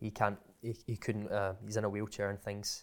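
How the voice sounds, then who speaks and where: A man speaks in a Scottish accent at a fairly low pitch. His pace is moderate. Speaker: content creator. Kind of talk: casual chat.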